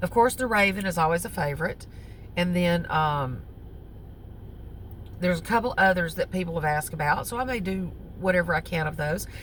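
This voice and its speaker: Speaking with a Southern US accent, this somewhat breathy voice moves at a fairly quick pace but breaks up with long, frequent pauses. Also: woman, fairly low pitch for a woman, ordinary pitch variation. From US South. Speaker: crochet vlogger. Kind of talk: casual chat. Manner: halting, with many fillers.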